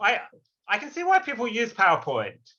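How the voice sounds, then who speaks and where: Against a quiet background, a man with an English accent uses a raised, projected voice, a bright, sharp tone and lively intonation. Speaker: philosophy lecturer. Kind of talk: lecture.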